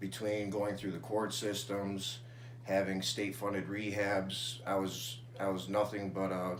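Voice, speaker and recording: A man with an American accent, fairly low pitch, fairly slow pace and fairly even intonation, with audible room echo. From Syracuse, New York, US. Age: 20s. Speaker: person in addiction recovery. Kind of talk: interview testimony.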